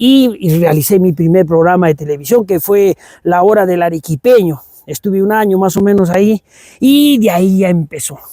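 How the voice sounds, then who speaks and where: A man with a high pitch and a dark, mellow tone keeps very even loudness in a dry, close sound with no echo. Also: ordinary pitch variation, moderate pace. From Peru, Arequipa (Sachaca). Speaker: composer and cultural promoter. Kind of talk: interview conversation. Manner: halting, with repetitions.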